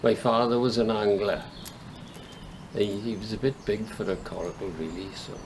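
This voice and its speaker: A man with a Welsh accent at a moderate pace and fairly low pitch, fairly even in intonation, with long, frequent pauses and noticeable background noise. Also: big swings in loudness. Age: 70s. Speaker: coracle fisherman. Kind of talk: interview.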